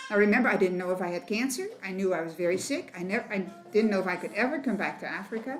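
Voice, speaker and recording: Audible room echo lingers around the voice. Its pitch swings very widely. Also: woman. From Netherlands, Rotterdam. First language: Dutch. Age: 70s. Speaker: missionary. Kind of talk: testimony. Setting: women's meeting at church.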